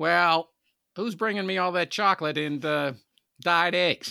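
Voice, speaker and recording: A bright, sharp tone with an American accent at a fairly slow pace, in a very clean recording with a silent background and a dry, close sound with no echo. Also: man. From western Pennsylvania. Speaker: podcast co-host. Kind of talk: casual chat.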